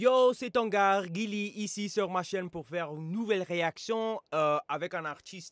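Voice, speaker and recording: Speaking with an English accent, a man goes at a very slow pace. The recording is very clean, with a silent background. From United States. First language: English (speaking French). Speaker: YouTuber and rapper reacting to music. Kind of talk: casual reaction video. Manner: halting, many hesitations.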